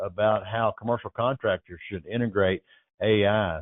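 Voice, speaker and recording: In a plain, everyday voice, a man talks at a fairly quick pace. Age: 60s. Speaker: trade magazine publisher and interviewer. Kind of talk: interview.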